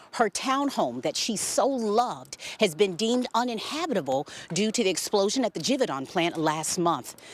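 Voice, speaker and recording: A woman's medium-pitched voice with vocal fry, very wide pitch swings, and a moderate pace. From Louisville, Kentucky. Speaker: TV news anchor and reporter. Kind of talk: TV news anchoring and reporting. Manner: personable, conversational.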